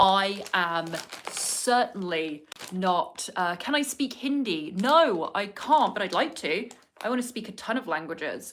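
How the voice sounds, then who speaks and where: Speaking in a southern English accent, a woman keeps a fairly slow pace at a medium pitch with very wide pitch swings. Noticeable background noise runs underneath. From southern England. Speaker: vlogger. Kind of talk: casual chat. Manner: chatty, with many fillers.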